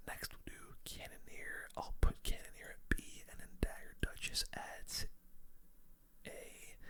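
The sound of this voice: The speaker whispers at a fairly slow pace.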